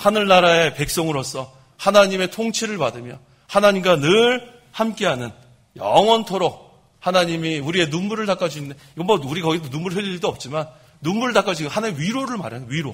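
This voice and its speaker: This man has a high voice with lively intonation. He speaks at a fairly quick pace. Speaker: pastor. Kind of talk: sermon. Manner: fast.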